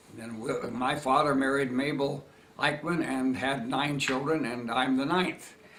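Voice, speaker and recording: With audible room echo, a man speaks fairly slowly in a fairly high voice with fairly even intonation. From Nebraska, US Midwest. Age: 80s+. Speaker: retired historian recording family memories. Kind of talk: oral history interview. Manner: halting, many fillers.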